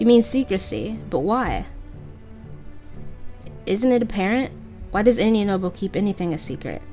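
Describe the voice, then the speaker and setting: Music plays in the background as a woman speaks. Her intonation is lively and her pace moderate. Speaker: let's play commentator. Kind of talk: reading game dialogue aloud.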